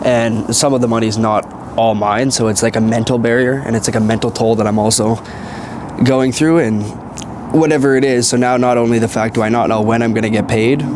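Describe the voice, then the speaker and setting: A man with a Canadian accent speaks at a fairly quick pace and medium pitch, with fairly even intonation and very even loudness, over noticeable background noise and audible room echo. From Canada. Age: 20s. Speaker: trader and online entrepreneur. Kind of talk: casual monologue vlog. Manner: rambling, casual.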